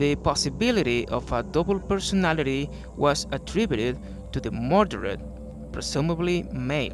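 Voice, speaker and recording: The speaker has a non-native accent and a moderate pace. Music plays in the background. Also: man. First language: not English. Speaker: true crime narrator. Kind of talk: true crime narration.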